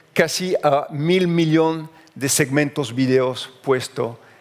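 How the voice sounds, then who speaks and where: In a French accent, a man speaks at a very slow pace. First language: French (speaking Spanish). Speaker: journalist. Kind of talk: conference talk. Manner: halting.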